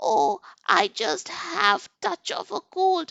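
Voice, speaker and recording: A woman's put-on, croaky, cackling character voice at a medium pitch, delivered at a very slow pace. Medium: read story. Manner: sly, put-on sweetness.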